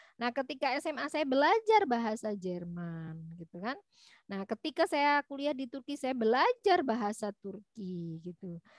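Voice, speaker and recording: At a moderate pace, a woman's voice moves through very wide pitch swings, recorded dry and close with no echo. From East Java, Malang. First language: Javanese (speaking Indonesian). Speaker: university lecturer. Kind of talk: lecture. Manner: halting, many fillers.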